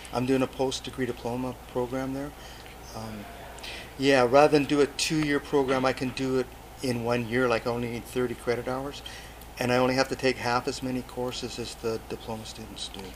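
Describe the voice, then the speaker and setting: A man's medium-pitched voice in a British Columbian accent, monotone and flat, at a fairly quick pace. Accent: Canadian (British Columbia). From Canada, Port Alberni, British Columbia. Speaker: overseas development volunteer, agriculture teacher. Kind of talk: interview.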